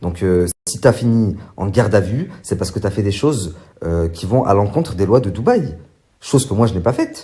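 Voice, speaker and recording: A man speaks at a moderate pace in a fairly low, dark and mellow voice that is somewhat breathy. His intonation is lively. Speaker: social media influencer. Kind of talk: vlog monologue. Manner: hesitant, many fillers; soft-spoken.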